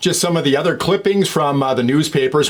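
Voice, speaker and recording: Noticeable background noise sits behind a man with a Canadian accent who speaks at a fairly quick pace, his fairly high pitch carrying lively intonation. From Canada, Ontario (Sarnia). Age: 50s. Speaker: vlogger sharing sports memories. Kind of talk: casual reminiscing monologue.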